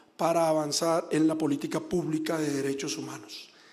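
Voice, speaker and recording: Room echo can be heard on this recording. The man keeps a moderate pace. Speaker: government official, former human rights defender. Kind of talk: formal speech at public hearing. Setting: senate public hearing.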